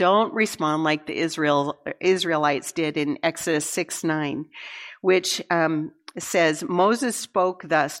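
A woman's fairly low, a normal speaking voice, with ordinary pitch variation and a fairly slow pace. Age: 60s. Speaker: women's conference speaker. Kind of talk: sermon. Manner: conversational.

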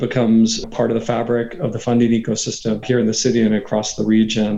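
A man with an American accent speaks at a fairly quick pace in an ordinary speaking voice, his pitch medium and his intonation fairly even. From Texas, Katy near Houston. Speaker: venture capitalist. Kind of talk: interview.

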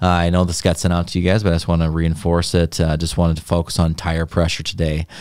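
A man's very deep, low voice at a very fast pace with hardly any pauses, monotone, flat intonation and very even loudness. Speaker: company video host. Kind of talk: live company podcast interview. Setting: live stream. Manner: casual, filler-heavy.

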